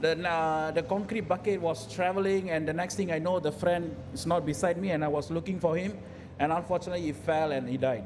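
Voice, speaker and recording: A man's high-pitched voice carries audible room echo. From raised in various countries. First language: not English. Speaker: health and safety professional, panel speaker. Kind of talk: panel talk at event. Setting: event hall with audience. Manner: hesitant, many fillers.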